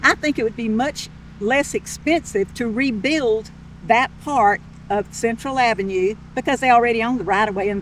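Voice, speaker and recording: Delivered at a moderate pace, this voice has a coastal Georgia accent and ordinary pitch variation. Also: woman. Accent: Southern US (coastal Georgia). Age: 70s. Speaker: local resident. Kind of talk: community interview.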